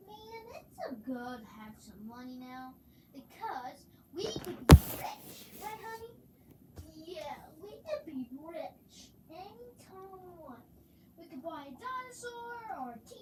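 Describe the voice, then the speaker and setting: A cartoonish character voice speaks at a fairly slow pace with long, frequent pauses. Background noise is clearly audible. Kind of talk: puppet skit with several voices.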